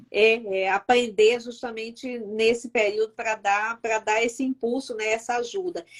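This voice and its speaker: A woman with an unremarkable speaking voice talks at a fairly slow pace with hardly any pauses. Her pitch is fairly high and her intonation fairly even. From Northeast Brazil, Fortaleza. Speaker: YouTube host. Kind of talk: live-stream interview. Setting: live stream.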